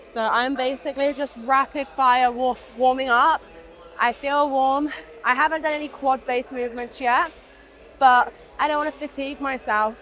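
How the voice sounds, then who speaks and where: Over music in the background, a woman speaks in a high pitch at a moderate pace. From UK. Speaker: fitness vlogger. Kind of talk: casual talk to camera.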